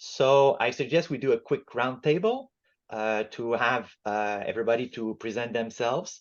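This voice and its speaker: At a moderate pace, a man with a Quebec accent speaks at a medium pitch with ordinary pitch variation. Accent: Quebec French-Canadian. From Quebec, Montreal. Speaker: book club facilitator, appliance repair business owner. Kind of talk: book club discussion. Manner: halting, many fillers.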